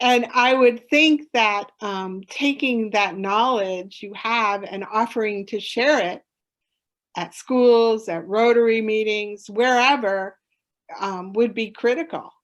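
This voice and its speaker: Against a quiet background, a woman with a fairly high pitch talks at a very slow pace, with ordinary pitch variation and big swings in loudness. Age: 60s. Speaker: conservation educator and summit presenter. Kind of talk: Q&A session at online conference.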